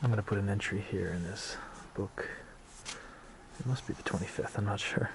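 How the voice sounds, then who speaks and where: Despite long, frequent pauses, a man with an American accent keeps a fairly quick pace, his fairly low pitch showing ordinary pitch variation amid noticeable background noise. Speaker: travel vlogger. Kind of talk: travel vlog narration. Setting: inside a church.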